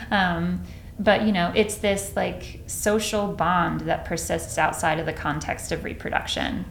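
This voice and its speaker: With an American accent, a woman speaks at a fairly slow pace amid audible room echo. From Texas, Dallas Fort Worth area, rural farm. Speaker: neuroscientist, professor. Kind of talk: interview conversation. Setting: office with bare walls, slightly echoey. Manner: halting, many fillers and false starts.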